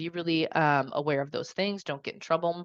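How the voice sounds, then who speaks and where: A woman's animated, very fast speech at a fairly low pitch, in a dry, close sound with no echo over a quiet background. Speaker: independent evaluation consultant. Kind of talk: webinar presentation.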